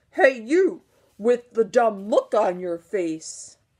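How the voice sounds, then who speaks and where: A woman uses a put-on, gruff character voice, fairly high in pitch, with very wide pitch swings at a very slow pace. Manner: mocking, rude.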